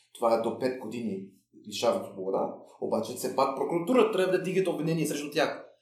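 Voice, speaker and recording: Audible room echo surrounds a man talking at a very fast pace. His fairly high voice makes very wide pitch swings. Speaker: former prisoner and prisoners' rights activist. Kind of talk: interview. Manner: halting, many repetitions and fillers.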